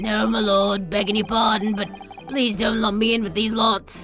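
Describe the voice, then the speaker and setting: Over clear background music, a woman uses a put-on character voice that sounds raspy. Her pitch is medium and her pace is moderate. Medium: virtual streamer. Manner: deferential, formal.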